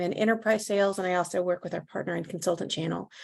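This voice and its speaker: Against a quiet background, a woman with a slight Southern US accent talks at a very fast pace with fairly even intonation. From US South, North Carolina. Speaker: legal tech sales advisor. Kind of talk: webinar presentation. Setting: online webinar. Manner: conversational with filler words.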